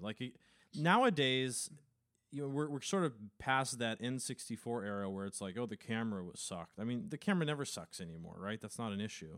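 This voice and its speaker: In a very clean recording with a silent background, a man speaks with a plain, everyday voice, medium pitch and lively intonation. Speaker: podcast host. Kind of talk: casual chat.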